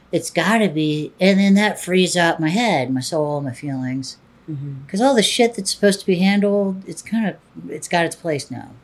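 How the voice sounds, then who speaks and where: An unremarkable speaking voice at a moderate pace, with lively intonation and hardly any pauses. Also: woman, fairly low pitch for a woman. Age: 40s. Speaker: adult film performer and director. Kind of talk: interview.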